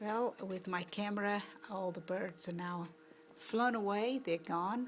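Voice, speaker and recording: A soft-spoken woman at a fairly slow pace, her medium pitch showing ordinary pitch variation. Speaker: amateur videographer. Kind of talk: casual narration while filming. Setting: outdoors.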